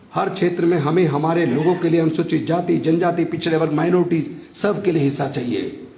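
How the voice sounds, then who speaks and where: Words come at a fairly slow pace. There is audible echo from the room. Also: man. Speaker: politician, former minister. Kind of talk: political speech at rally. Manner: forceful, impassioned.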